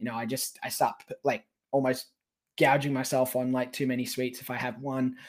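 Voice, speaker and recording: The pace of this man's speech is moderate. He has an Australian accent. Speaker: professional wrestler. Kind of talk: casual interview.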